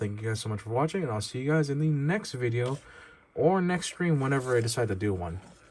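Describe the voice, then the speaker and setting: A man with a medium-pitched, somewhat breathy voice talks at a fairly quick pace. His intonation is lively. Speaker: toy reviewer YouTuber. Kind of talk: product review. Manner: halting, stammering; casual, informal.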